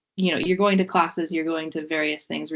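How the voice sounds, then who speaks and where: Speaking with an American accent, a woman uses a very deep, low pitch with vocal fry. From United States. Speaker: university researcher. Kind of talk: webinar interview.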